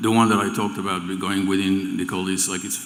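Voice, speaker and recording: A man speaks with a French accent in a very deep, low pitch. Noticeable background noise and audible room echo surround his voice. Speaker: remote viewing teacher. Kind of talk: stage interview. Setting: event stage with audience. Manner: halting, many repeated words.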